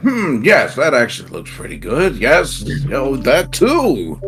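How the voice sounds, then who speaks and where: A man mumbles in a put-on character voice at a fairly slow pace, his loudness swinging widely over clear background music. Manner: mumbling to himself.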